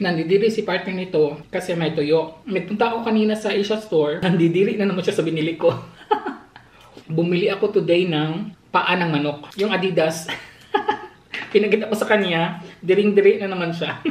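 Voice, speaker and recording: With audible room echo, a woman at medium pitch talks at a fairly quick pace with fairly even intonation. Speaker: vlogger. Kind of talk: casual vlog chat. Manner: soft-spoken; halting, many fillers.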